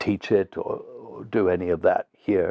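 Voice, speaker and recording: A man speaks with a British accent. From England. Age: 70s. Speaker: theatre artistic director and actor. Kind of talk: interview reflection. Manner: halting with fillers.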